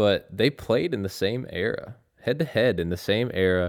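A man with an American accent at a moderate pace. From North Carolina, Raleigh. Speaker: basketball fan guest. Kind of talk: casual chat.

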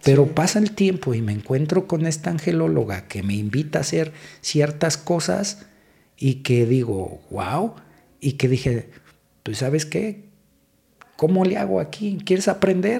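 A man's fairly high, somewhat breathy voice with a dark, mellow tone, very wide pitch swings and a fairly slow pace. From Mexico City. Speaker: police officer. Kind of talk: casual interview. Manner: halting.

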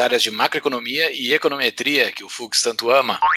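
Bright and sharp in tone, a man's voice sits at a medium pitch. He moves at a fairly quick pace with fairly even intonation. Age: 30s. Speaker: podcast host. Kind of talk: casual chat.

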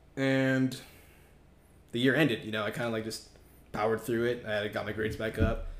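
A man speaks at a fairly quick pace with an American accent, his intonation monotone and flat, over noticeable background noise. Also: medium pitch for a man. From Southern California, West Covina. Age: 20s. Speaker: college student. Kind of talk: casual chat.

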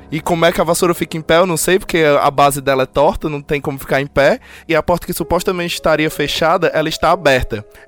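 Music plays behind a man speaking at a very fast pace. His voice sits fairly high, with ordinary pitch variation. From Ceará, Brazil. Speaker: podcaster living abroad. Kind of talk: casual chat.

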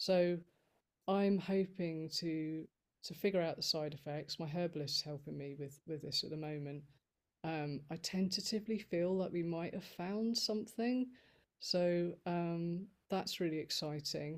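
A woman with a normal speaking voice talks at a fairly slow pace, her pitch fairly low with ordinary pitch variation. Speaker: guest sharing chronic illness experience. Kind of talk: interview, personal story. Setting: video call.

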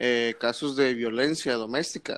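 Monotone, flat intonation from a man at a medium pitch, fairly slow in pace, with a quiet background. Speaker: podcast co-host, student. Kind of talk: casual chat.

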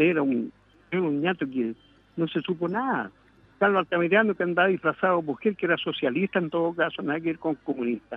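A man's high voice at a very fast pace, with lively intonation. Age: 70s. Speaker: radio caller. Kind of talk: call-in political opinion.

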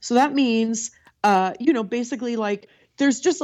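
Against a quiet background, a woman with an American accent talks at a very fast pace. Her fairly high voice sounds animated, with lively intonation. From California. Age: 20s. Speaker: comedic performer. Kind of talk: casual chat.

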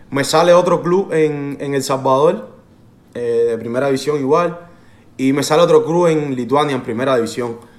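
There is audible room echo as a man talks at a moderate pace and a fairly high pitch, with ordinary pitch variation. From Cuba. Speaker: professional footballer. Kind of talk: interview.

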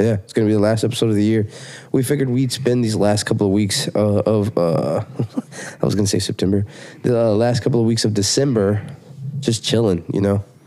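The speech comes at a very fast pace with very even loudness and ordinary pitch variation over noticeable background noise. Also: man, fairly low pitch for a man. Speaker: podcast host. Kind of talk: casual chat.

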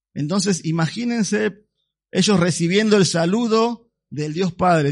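A man at a fairly slow pace and high pitch. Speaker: pastor. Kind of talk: sermon. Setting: church. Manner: animated; didactic, expository.

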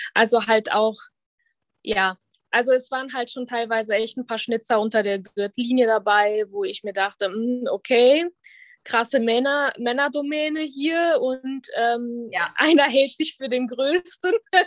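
Woman's voice at a high pitch with ordinary pitch variation and a fairly slow pace, dry and close with no echo, over a quiet background. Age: 30s. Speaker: body-positivity influencer, former fitness trainer. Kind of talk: casual interview.

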